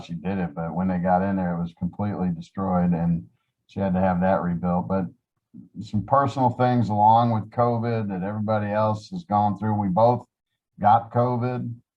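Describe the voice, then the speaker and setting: Someone with an American accent talks at a moderate pace with ordinary pitch variation. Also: man. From upstate New York. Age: 60s. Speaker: Salvation Army officer. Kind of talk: interview. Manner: halting.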